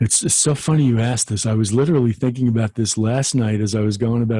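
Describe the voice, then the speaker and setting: Against a quiet background, a man speaks at medium pitch in a somewhat breathy, dark, mellow tone, with ordinary pitch variation. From New York (Staten Island). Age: 60s. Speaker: financial industry speaker and trainer, army veteran. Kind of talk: podcast interview. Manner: halting, frequent self-restarts.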